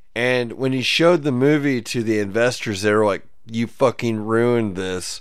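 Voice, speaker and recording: Here a man has a plain, everyday voice with ordinary pitch variation. He talks with hardly any pauses. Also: medium pitch for a man, moderate pace. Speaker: podcast host. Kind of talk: casual chat.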